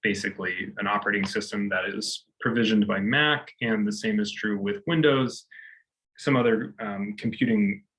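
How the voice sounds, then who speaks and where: This man has an unremarkable speaking voice at a fairly low pitch. His pitch variation is ordinary. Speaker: university lecturer. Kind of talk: tutorial.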